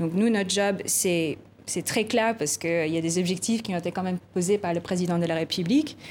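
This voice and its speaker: Here a woman speaks with a non-native accent at a fairly quick pace. Her pitch is medium. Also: ordinary pitch variation. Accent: foreign accent in French. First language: not French (speaking French). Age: 30s. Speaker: tech policy director. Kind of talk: TV interview. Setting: TV studio. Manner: hesitant, many repeated words.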